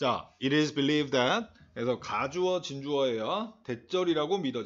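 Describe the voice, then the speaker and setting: In an unremarkable speaking voice, a man talks at a fairly high pitch with lively intonation. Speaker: English teacher. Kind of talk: lecture. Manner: casual, filler-heavy explanation.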